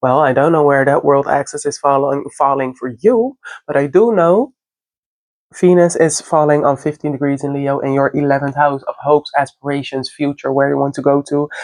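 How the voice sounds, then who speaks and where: This speaker has a non-native accent and keeps a moderate pace. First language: not English. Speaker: astrology content creator. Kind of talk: casual astrology forecast monologue. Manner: halting, self-correcting.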